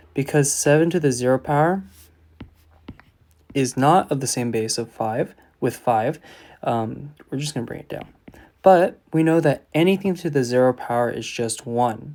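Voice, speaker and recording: With a fairly high voice and ordinary pitch variation, a man talks at a moderate pace, leaving long, frequent pauses and making big swings in loudness. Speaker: math teacher. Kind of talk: tutorial.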